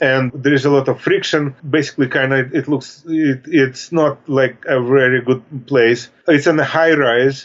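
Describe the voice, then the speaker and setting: Speaking at a moderate pace with hardly any pauses, a man with a Russian accent keeps a fairly high pitch, very even loudness, and fairly even intonation. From Russia (Soviet Union). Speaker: author. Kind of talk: interview. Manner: halting.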